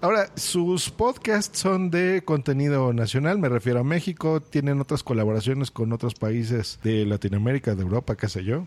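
A man with a Mexican accent at a medium pitch, very wide pitch swings, very even loudness, a moderate pace and hardly any pauses. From Mexico. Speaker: podcast host. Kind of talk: casual interview.

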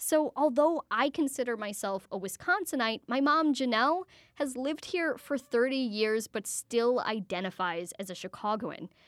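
A woman speaks in a high voice with lively intonation, at a moderate pace with hardly any pauses. The recording is very clean with a silent background, and the sound is dry and close with no echo. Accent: American. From US Midwest. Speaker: radio host. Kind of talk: radio magazine show. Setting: studio.

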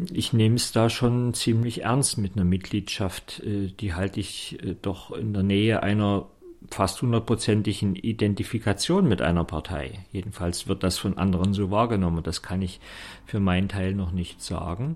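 At a moderate pace, a man speaks with a fairly low pitch and ordinary pitch variation on a very clean recording with a silent background. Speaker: theologian and political candidate. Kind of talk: radio interview. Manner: hesitant with filler sounds.

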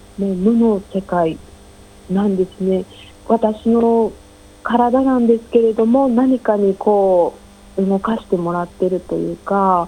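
A woman speaks at a very slow pace with fairly even intonation and a dark, mellow tone. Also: medium pitch for a woman. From Japan. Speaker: ink artist. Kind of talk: interview.

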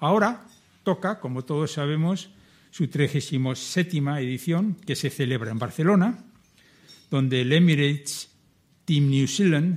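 At a moderate pace, a man with a fairly high, somewhat breathy voice speaks with ordinary pitch variation on a very clean recording with a silent background. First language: Spanish. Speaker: event chairman. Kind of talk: formal welcome speech.

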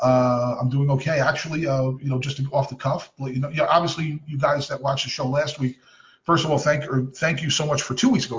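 A man speaks at a very fast pace. His voice is somewhat breathy and fairly high-pitched. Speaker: soccer podcast host. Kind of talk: casual chat. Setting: home recording with kids in background.

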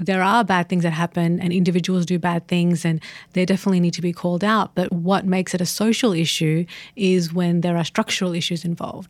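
With an Australian accent, a woman speaks at a fairly quick pace and fairly low pitch, monotone and flat, in a very clean recording with a silent background. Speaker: podcast co-host, editor. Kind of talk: casual chat.

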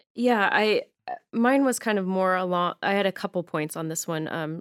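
The speaker has an American accent. Music runs in the background. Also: woman. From Arizona. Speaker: social worker. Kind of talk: casual chat. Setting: studio. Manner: laughs often.

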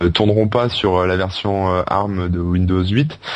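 A man with a fairly low pitch talks with fairly even intonation over noticeable background noise. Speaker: podcast co-host. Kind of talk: casual chat.

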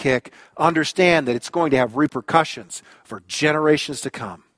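Over a quiet background with a dry, close sound and no echo, a man uses a plain, everyday voice at fairly high pitch, a moderate pace and ordinary pitch variation. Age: 50s. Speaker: pastor. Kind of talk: sermon.

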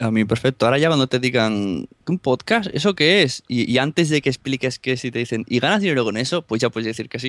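In a Spanish accent, a man talks at a very fast pace with hardly any pauses, a medium pitch and lively intonation. The sound is dry and close with no echo, over a quiet background. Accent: Spanish (Spain). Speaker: podcaster. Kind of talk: casual chat. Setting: remote call from Spain, late at night.

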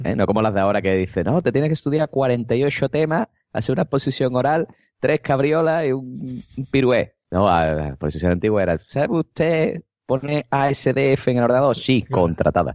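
A man with an Andalusian accent speaks at a moderate pace in a medium-pitched voice with very wide pitch swings. His loudness stays very even, and the sound is dry and close with no echo. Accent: Andalusian Spanish (Cádiz). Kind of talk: casual chat.

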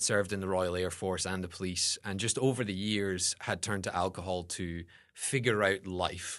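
A man with a Scottish accent talks in a very deep, low voice at a moderate pace. His intonation is fairly even, and the background is quiet. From Scotland. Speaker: seminary student and academic advisor. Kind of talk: interview, personal testimony.

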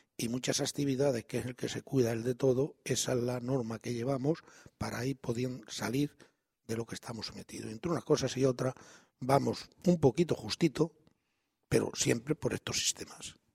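Recorded dry and close with no echo, a man talks at a moderate pace in a medium pitch, somewhat breathy, with fairly even intonation. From Extremadura, Spain. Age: 70s. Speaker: treasurer of a regional association. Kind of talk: radio interview.

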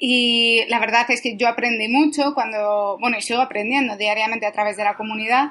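Fairly quick and with hardly any pauses, a woman speaks in a fairly high pitch with fairly even intonation, an ordinary speaking voice. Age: 20s. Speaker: digital marketing specialist. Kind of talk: interview.

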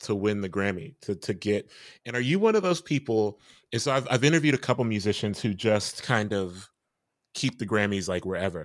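A man's normal speaking voice, fairly low in pitch with ordinary pitch variation and a fairly quick pace, in a very clean recording with a silent background. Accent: American. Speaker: podcast host. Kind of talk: interview conversation.

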